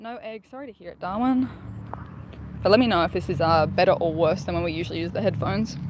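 Very fast and with lively intonation, a woman with an Australian accent shows big swings in loudness, recorded dry with no echo over noticeable background noise. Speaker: gaming streamer. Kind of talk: live stream chat. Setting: outdoors. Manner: animated.

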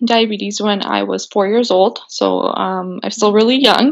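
It is an ordinary speaking voice. The woman's pitch sits fairly high. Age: 20s. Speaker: diabetes advocate, small business owner. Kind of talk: casual interview chat.

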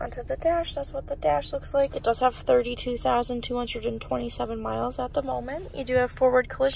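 A woman at a moderate pace, dry sound with no echo, light background noise. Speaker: car salesperson. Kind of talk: vehicle walkaround tour. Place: car. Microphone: phone near.

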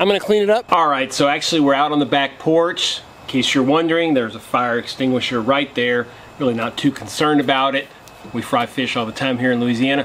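A man talks at a very fast pace with ordinary pitch variation over light background noise. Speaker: outdoor cooking vlogger. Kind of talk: casual vlog chat. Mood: earnest safety disclaimer. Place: garden.

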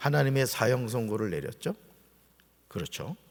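The speaker is a man with a medium-pitched voice. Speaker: pastor. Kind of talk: sermon. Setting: church. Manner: conversational, explanatory.

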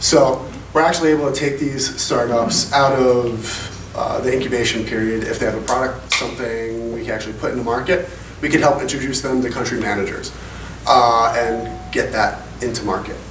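A man with a medium pitch at a moderate pace, with light background noise and audible room echo. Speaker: telecom strategy manager. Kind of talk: panel discussion. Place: hall.

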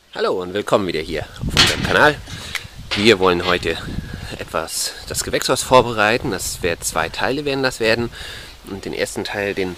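A man at a moderate pace with ordinary pitch variation, dry sound with no echo, and loud background noise. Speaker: hobby gardener vlogger. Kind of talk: casual vlog chat. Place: garden. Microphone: phone near.

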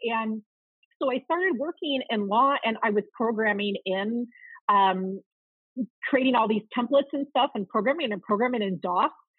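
A woman with an American accent speaks at a moderate pace in a fairly high pitch and lively intonation. The sound is dry with no echo. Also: quiet background. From US Midwest, outside Chicago, Illinois. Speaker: marketing operations consultant; podcast guest. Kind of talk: podcast interview. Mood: upbeat, animated. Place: home room. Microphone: video call.

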